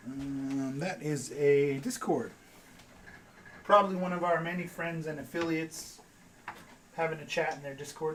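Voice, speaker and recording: Moderate pace with long, frequent pauses, plus noticeable background noise. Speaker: streamer cooking show host. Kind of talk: live cooking tutorial.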